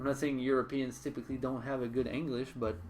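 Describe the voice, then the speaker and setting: The speech moves at a very fast pace. Pitch variation is ordinary. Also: man. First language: French. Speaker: streamer. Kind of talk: live gaming stream chat. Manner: halting, frequent repetitions.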